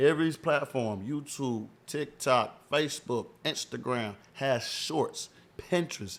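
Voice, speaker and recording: On a very clean recording with a silent background, a man is speaking. His pitch is medium and varies in an ordinary way. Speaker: podcast host. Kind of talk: casual chat. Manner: loud, projecting voice; animated.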